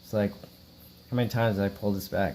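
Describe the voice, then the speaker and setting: Fairly low in pitch, a man's voice has a dark, mellow tone and fairly even intonation. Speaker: hobby gold prospector. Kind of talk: tutorial. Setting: at home. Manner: monotone.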